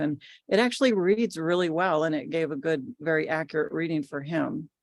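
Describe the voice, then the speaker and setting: At a fairly quick pace, a woman speaks in a very deep, low pitch. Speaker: tarot reader and presenter. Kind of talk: Q&A after a presentation. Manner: calm.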